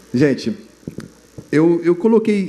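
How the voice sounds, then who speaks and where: A man talks with ordinary pitch variation. Noticeable background noise and audible room echo fill the recording. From southern Brazil, Rio Grande do Sul. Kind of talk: testimony at a religious youth congress. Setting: stage with audience. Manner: casual, halting with fillers.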